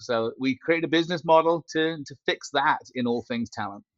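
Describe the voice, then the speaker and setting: With a British accent, a man speaks using ordinary pitch variation. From Britain. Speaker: company founder and CEO. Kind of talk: podcast interview.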